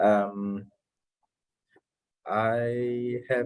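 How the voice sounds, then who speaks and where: Music plays behind a man with a New Zealand accent, and his voice is dry and close with no echo. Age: 20s. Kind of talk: video meeting introductions.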